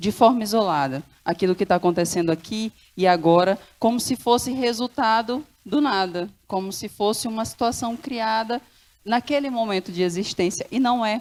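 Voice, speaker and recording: Ordinary pitch variation and a moderate pace from a woman with a fairly high voice, on a very clean recording with a silent background. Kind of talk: panel talk. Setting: stage with audience.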